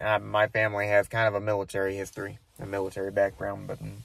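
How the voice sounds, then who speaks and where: On a very clean recording with a silent background, a man speaks at a fairly quick pace in a fairly low pitch with monotone, flat intonation. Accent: American. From United States. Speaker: vlogger. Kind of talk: casual monologue to camera. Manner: halting, many fillers.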